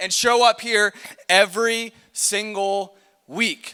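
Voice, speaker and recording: A man projects his voice loudly at an extremely high pitch. His tone is energetic, bright and sharp. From US Midwest. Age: 20s. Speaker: youth pastor. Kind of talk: youth ministry talk. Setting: stage with audience. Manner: casual, energetic.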